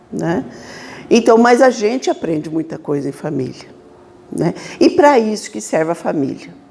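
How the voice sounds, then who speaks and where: Pausing long and often, a woman talks at a moderate pace. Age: 60s. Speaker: spiritist lecturer. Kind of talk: lecture. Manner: casual, conversational.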